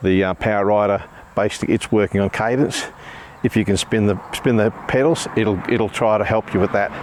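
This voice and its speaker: A man at a fairly quick pace with very even loudness, against noticeable background noise. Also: fairly low pitch for a man, fairly even intonation. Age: 60s. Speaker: bike reviewer. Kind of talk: product review. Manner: halting.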